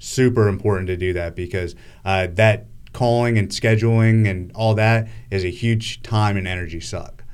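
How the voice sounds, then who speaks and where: With an American accent, an unremarkable speaking voice keeps a moderate pace and fairly even intonation. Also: man, fairly low pitch for a man. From US, Northern Virginia. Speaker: real estate wholesaler. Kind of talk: interview. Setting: live streamed interview.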